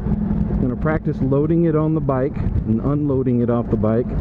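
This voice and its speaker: Moderate pace from a man, loud background noise throughout. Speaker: motorcycle commuter vlogger. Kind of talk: casual vlog chat. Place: motorbike. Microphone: helmet.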